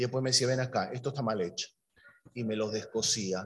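Somewhat breathy, a man's voice comes through. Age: 50s. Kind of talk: sermon.

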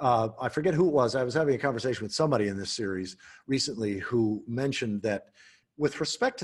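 A man speaks at a very fast pace, his voice somewhat breathy. His intonation is lively. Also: quiet background. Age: 60s. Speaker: podcast host. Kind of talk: casual chat.

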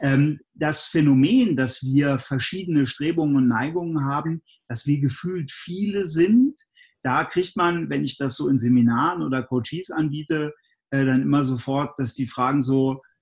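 At a fairly slow pace, this man's fairly high, somewhat breathy voice shows ordinary pitch variation. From Germany, Göttingen (Lower Saxony). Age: 40s. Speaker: resilience trainer and speaker. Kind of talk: interview.

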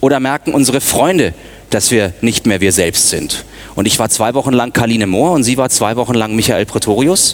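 A man speaks in an ordinary speaking voice at medium pitch and a moderate pace. His intonation is lively and his loudness very even. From Munich, Bavaria. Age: 30s. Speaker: media consultant and former radio newsreader. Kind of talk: conference talk.

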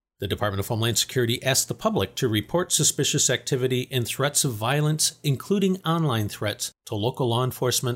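A man's somewhat breathy voice at a fairly quick pace, with lively intonation, a dry, close sound with no echo and a very clean recording with a silent background. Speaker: news update presenter. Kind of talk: formal news reading of a scripted security briefing. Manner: formal; measured, even-paced, neutral newsreader delivery.

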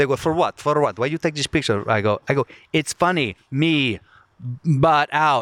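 The recording is very clean, with a silent background and a dry, close sound with no echo. A man with a fairly high pitch and ordinary pitch variation speaks at a moderate pace. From Virginia, US. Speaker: comedian, podcast host. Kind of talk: casual chat.

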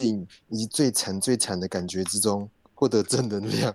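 At a fairly slow pace, a man talks in a normal speaking voice with ordinary pitch variation. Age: 30s. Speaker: podcast host. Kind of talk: casual chat.

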